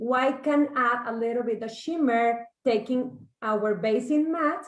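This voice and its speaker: A woman's fairly high voice with a Mexican accent, at a fairly slow pace with ordinary pitch variation. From Mexico. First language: Spanish. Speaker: makeup artist and salon owner. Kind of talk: makeup tutorial.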